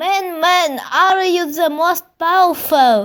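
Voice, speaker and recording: Using a put-on character voice, a woman speaks at a very slow pace with an extremely high pitch. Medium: read story. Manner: repetitive, pleading.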